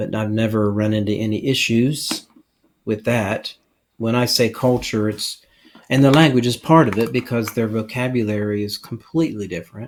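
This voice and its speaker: A man speaks with an American accent at a medium pitch. His pace is moderate and his pitch variation ordinary. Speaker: pastor and missionary. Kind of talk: interview conversation.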